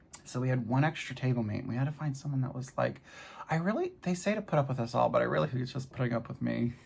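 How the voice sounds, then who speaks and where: Very fast speech from a man at medium pitch, lively in intonation, with noticeable background noise. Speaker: crafting vlogger. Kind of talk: casual chat. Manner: animated; loud.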